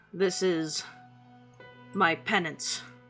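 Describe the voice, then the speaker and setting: A loud put-on character voice at a middle pitch, faint music in the background. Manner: solemn, weighty.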